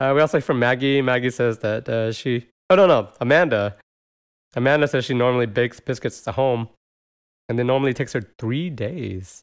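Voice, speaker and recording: Spoken at a fairly quick pace with an American accent, this is an unremarkable speaking voice with ordinary pitch variation against a quiet background. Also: man, medium pitch for a man. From United States. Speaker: podcast host. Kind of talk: casual chat.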